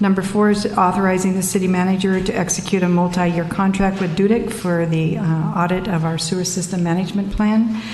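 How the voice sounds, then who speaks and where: Music plays behind a woman speaking at a fairly quick pace with a medium pitch. Her intonation is monotone and flat, and the room echo is audible. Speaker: city official. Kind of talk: reading an agenda. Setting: city council meeting. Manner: brisk.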